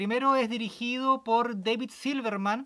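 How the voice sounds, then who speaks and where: In a raised, projected voice, a man speaks at an extremely high pitch with ordinary pitch variation. The recording is very clean with a silent background. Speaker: podcast co-host. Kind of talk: casual chat.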